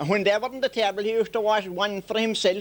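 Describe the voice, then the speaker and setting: A man speaks in a Limerick accent at a high pitch. His pace is fairly quick. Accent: rural Irish, Limerick. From Ireland. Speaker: traditional storyteller. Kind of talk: humorous folk storytelling. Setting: outdoors.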